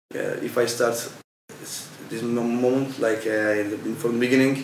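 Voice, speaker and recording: A man speaks at a moderate pace and medium pitch in a monotone, flat delivery, with audible room echo. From Turkey. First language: Turkish. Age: 20s. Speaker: volunteer. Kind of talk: interview. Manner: halting.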